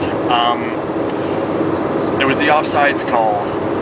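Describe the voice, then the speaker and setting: Loud background noise surrounds this man's voice. He speaks at a fairly slow pace. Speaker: sports fan vlogger. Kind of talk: casual talk to camera, sports commentary vlog. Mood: upbeat, reflective. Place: car. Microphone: phone near.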